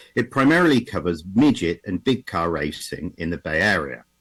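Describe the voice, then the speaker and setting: Moderate-paced speech in an English accent on a very clean recording with a silent background. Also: man. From England. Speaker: automotive historian presenter. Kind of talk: conference presentation. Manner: halting, with repetitions and fillers.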